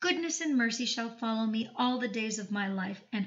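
In an ordinary speaking voice, a woman talks at a fairly quick pace with a fairly high pitch and lively intonation. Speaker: audiobook narrator and channel host. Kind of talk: audiobook reading of a self-help text, affirmations.

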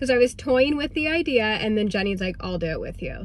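The voice has ordinary pitch variation, with light background noise and a dry sound that carries no echo. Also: woman. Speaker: vlogger. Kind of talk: casual vlog chat. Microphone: phone near.

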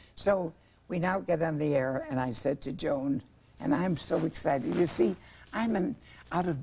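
The voice is somewhat breathy with a dark, mellow tone and lively intonation. It moves at a moderate pace over light background noise. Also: woman, fairly low pitch for a woman. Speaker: talk show guest. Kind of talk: interview answer, anecdote telling. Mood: playful, comic. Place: studio. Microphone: lapel.

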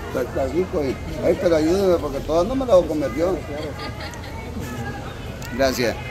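A man with fairly high pitch and lively intonation at a moderate pace, over clear background noise and clear crowd noise in the background

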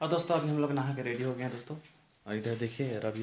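A man talks at a fast pace with fairly even intonation.

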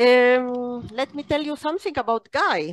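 A woman speaks with a high voice. The sound is dry with no echo, and the background is quiet. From Israel. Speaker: training center deputy director, moderator. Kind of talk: webinar moderation. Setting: online meeting. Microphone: video call.

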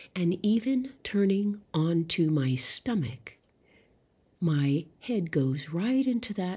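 Soft-spoken and somewhat breathy, a woman talks in a gentle tone at a very slow pace. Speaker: vlogger. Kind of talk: casual vlog chat. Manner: soft-spoken, gentle, lying down.

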